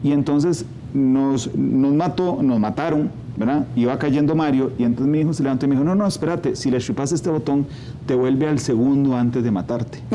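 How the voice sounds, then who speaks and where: A man with a Costa Rican accent talks at a fairly quick pace, his fairly high pitch varying in an ordinary way. Background noise is noticeable. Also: very even loudness. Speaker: TV news interviewer. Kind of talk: interview. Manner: conversational.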